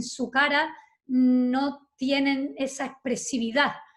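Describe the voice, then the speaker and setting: This is a woman speaking. Her pitch is high. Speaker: interviewer. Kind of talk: interview.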